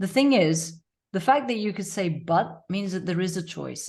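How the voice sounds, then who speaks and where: Over a quiet background, a woman talks at a moderate pace in a somewhat breathy voice. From Tanzania. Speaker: life coach. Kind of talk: podcast interview.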